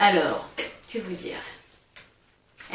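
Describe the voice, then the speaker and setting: Audible room echo surrounds a woman's voice. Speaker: beauty vlogger. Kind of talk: product haul video. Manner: halting, many hesitations.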